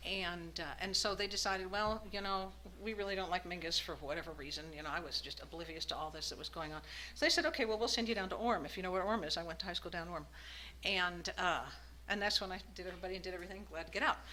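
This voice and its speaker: A woman with an American accent at a very fast pace, amid noticeable background noise and audible room echo. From Arizona, US. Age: 60s. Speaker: recovering alcoholic speaker. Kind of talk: recovery meeting testimony. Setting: meeting room with audience. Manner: halting, with many fillers.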